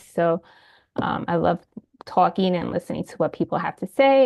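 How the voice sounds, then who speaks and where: A woman's voice at a medium pitch. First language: Spanish. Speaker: independent evaluation consultant. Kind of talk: self-introduction. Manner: fast.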